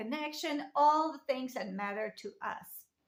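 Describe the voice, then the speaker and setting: With a French accent, a woman speaks at a high pitch and a fairly slow pace, her intonation lively. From France. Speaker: lifestyle vlogger. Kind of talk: casual talk to camera.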